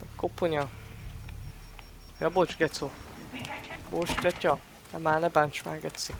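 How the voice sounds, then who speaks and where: Speech comes at a very slow pace with long, frequent pauses and a monotone, flat intonation. Noticeable background noise runs underneath. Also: man, fairly high pitch for a man. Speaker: gaming streamer. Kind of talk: let's play commentary. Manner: quieter than usual; casual, swearing banter.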